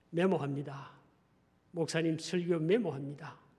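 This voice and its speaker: Fairly even in intonation, a man speaks at a high pitch. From Gyeongsang region, South Korea. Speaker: pastor. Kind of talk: sermon.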